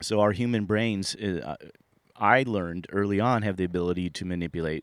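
On a very clean recording with a silent background, a man talks at a fairly low pitch. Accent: American. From Sunnyvale, California, US. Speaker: storyteller recounting personal paranormal experiences. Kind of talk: first-person storytelling monologue. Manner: halting, many repetitions and fillers.

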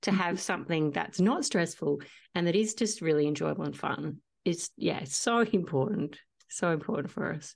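With an Australian accent, a woman with a fairly low voice and vocal fry talks fairly quickly with lively intonation over a quiet background. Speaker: podcast host and singer-songwriter. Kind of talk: casual interview chat.

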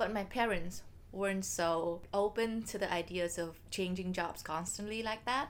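In a Vietnamese accent, a woman talks at a moderate pace. Her pitch is medium and her intonation fairly even. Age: 20s. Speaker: podcast co-host. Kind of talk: casual chat.

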